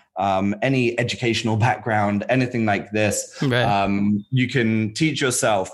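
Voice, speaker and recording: At a fairly slow pace with hardly any pauses, a man in a normal speaking voice at medium pitch keeps very even loudness and fairly even intonation. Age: 30s. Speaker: web developer and founder of a learning platform. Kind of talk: casual interview chat.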